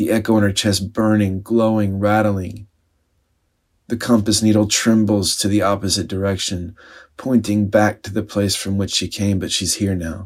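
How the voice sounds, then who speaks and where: Fairly low male voice, monotone and flat, at a moderate pace, on a very clean recording with a silent background. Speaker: spiritual speaker and storyteller. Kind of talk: dramatic narration of a story, then a brief personal reflection.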